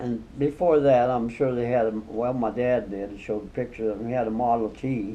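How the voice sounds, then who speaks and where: Through noticeable background noise, a man speaks quickly at medium pitch and hardly pauses. His intonation stays fairly even. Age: 80s+. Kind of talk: interview answer. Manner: casual, reminiscing.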